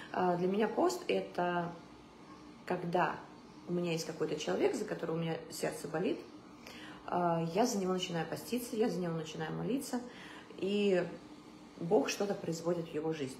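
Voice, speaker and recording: A woman with a fairly low pitch speaks with ordinary pitch variation and long, frequent pauses, with audible room echo and light background noise. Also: moderate pace. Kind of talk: casual vlog talk about faith. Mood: calm, reflective. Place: home room. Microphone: phone near.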